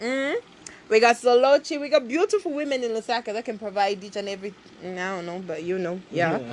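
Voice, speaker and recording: A woman talks at a very fast pace in a fairly high, animated voice with lively intonation and big swings in loudness. Noticeable background noise runs behind her. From Zambia, Copperbelt. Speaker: podcast co-host. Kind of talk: casual chat.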